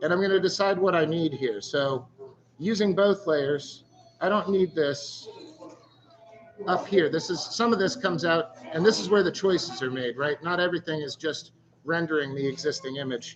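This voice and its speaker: Loud over music in the background, a man with a high pitch speaks at a moderate pace with ordinary pitch variation. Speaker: stencil artist teaching a workshop. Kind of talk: tutorial. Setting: live-streamed workshop in a store.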